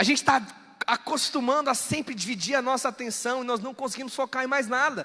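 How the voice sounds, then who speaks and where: At a fairly quick pace, a man speaks in a raised, projected voice of extremely high pitch. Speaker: preacher. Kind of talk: sermon. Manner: fast.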